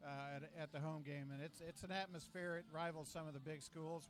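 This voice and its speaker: Music plays in the background as a man speaks. His fairly high voice holds a monotone, flat intonation. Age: 60s. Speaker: alumni booster club leader. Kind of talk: interview. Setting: restaurant. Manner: halting.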